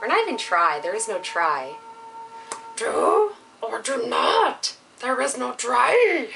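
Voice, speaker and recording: Croaky and raspy, a put-on character voice unfolds at a fairly slow pace with long, frequent pauses. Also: woman, high pitch for a woman. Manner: wise, cryptic.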